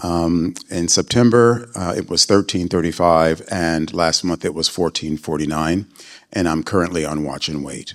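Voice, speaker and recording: The speaker keeps a moderate pace. The intonation stays fairly even. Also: man, very deep, low pitch for a man. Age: 60s. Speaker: patient panelist, business consultant. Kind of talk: panel self-introduction.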